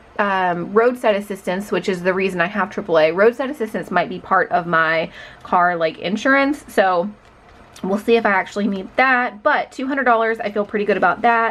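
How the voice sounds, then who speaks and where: Speaking at a fairly quick pace, a woman has an ordinary speaking voice. Her pitch sits in the medium range, with ordinary pitch variation. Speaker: budgeting YouTuber. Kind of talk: casual chat. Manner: conversational.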